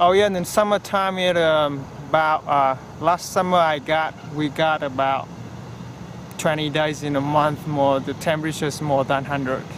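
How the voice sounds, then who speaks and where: Through noticeable background noise, a man with a fairly high pitch speaks at a moderate pace with fairly even intonation. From Vietnam, Hanoi. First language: Vietnamese. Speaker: golf course turf management trainee. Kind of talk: interview. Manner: halting.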